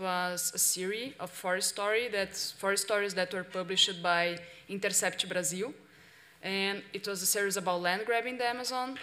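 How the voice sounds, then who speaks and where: A woman speaks at a medium pitch and a moderate pace. Her tone is bright and sharp, with fairly even intonation. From Brazil. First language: Portuguese. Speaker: investigative journalist; journalist presenter. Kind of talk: workshop presentation. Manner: halting. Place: hall. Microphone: podium.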